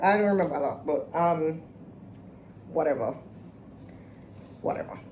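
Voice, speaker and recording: Audible room echo carries a woman's somewhat breathy voice, dark and mellow in tone, moving at a fairly quick pace. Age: 40s. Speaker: vlogger / podcast host. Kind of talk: casual personal vlog talk. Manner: halting, many fillers.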